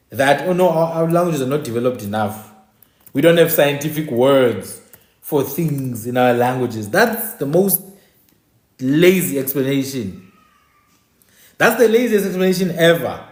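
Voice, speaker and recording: An animated, fairly high male voice at a moderate pace, with very wide pitch swings, long, frequent pauses and audible room echo. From South Africa. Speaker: online talk show host. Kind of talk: livestream monologue. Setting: live stream.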